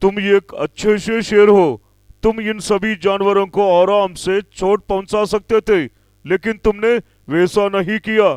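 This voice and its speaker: Using a cartoonish character voice, a man talks at a fairly slow pace with high pitch. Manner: calm, authoritative.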